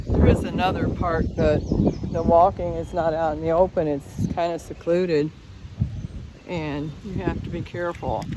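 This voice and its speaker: A woman speaks at a moderate pace in a fairly low pitch, her intonation flat and monotone. Noticeable background noise runs underneath. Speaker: vlogger. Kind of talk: casual chat. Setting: outdoors. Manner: loud.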